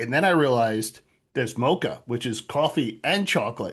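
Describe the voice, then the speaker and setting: Here is a man with an American accent. His pitch swings very widely. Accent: New York accent, kept in check. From Long Island, New York. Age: 50s. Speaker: author. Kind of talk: casual chat.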